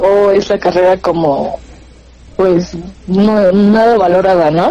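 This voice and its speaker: Noticeable background noise behind a woman talking. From Mexico, Pachuca, Hidalgo. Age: 20s. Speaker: communication student and radio announcer. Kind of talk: casual interview chat.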